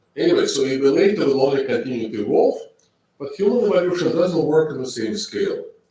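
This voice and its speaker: A man is talking. The room echo is audible. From Russia. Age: 60s. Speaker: professor. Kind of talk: lecture.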